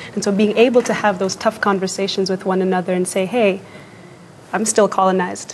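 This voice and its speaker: There is noticeable background noise behind this woman's voice. She speaks fairly quickly at a medium pitch, with flat, monotone intonation. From Kenya. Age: 20s. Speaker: youth activist. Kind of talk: TV interview.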